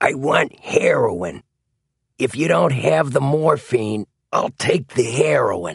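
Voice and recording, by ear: A man puts on a character voice in a Philadelphia accent, medium in pitch with big pitch swings, vocal fry, and a slightly husky edge, at a slow pace. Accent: put-on Philadelphia American.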